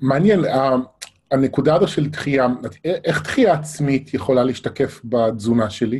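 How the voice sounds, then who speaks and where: In an ordinary speaking voice, a man of medium pitch talks at a fairly slow pace with ordinary pitch variation and very even loudness. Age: 40s. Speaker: interviewer. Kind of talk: interview. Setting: live online broadcast.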